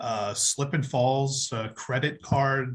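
This man has a medium pitch and ordinary pitch variation. He sounds somewhat breathy, with an American accent. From Pennsylvania, Berks County. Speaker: county official. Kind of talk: interview.

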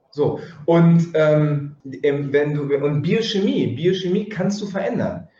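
A man's fairly high voice at a very slow pace, with ordinary pitch variation and audible room echo. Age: 40s. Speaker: yoga teacher. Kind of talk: interview.

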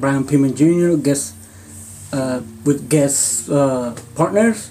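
The speaking runs at a very slow pace, with noticeable background noise behind it. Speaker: wrestling podcast co-host. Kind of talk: casual chat.

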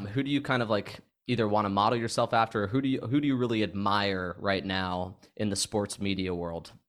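This man has an unremarkable speaking voice, fairly low in pitch with ordinary variation. He moves at a fairly quick pace with hardly any pauses. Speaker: podcast host. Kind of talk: casual sports chat.

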